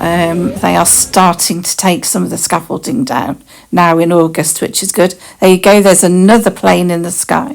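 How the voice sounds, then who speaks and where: Vocal fry runs through a woman's fairly low voice. She talks at a moderate pace with ordinary pitch variation. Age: 60s. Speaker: travel vlogger. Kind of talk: vlog narration over holiday footage. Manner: hesitant, many fillers.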